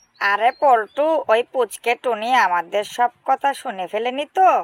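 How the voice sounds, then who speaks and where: Someone uses a cartoonish character voice at a fairly slow pace. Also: female-sounding voice, high pitch for a woman. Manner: cocky, sneering.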